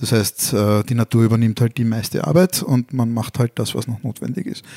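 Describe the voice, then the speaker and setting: The man's dark, mellow tone comes through a dry, close sound with no echo. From Vienna, Austria (Brigittenau district). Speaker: podcast co-host. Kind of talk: casual chat.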